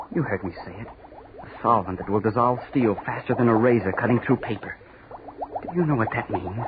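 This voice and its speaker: A man with an intense tone at medium pitch, fairly quick, with ordinary pitch variation, big swings in loudness and noticeable background noise. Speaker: obsessed young chemistry student, mad scientist character. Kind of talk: old-time radio horror drama. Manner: frenzied, feverish, intense, desperate.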